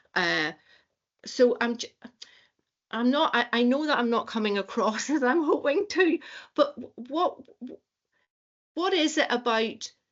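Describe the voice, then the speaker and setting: A woman with a Northern Irish accent, a fairly slow pace and very wide pitch swings. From Northern Ireland. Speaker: university staff member asking questions. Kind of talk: academic roundtable discussion. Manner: halting, many repetitions.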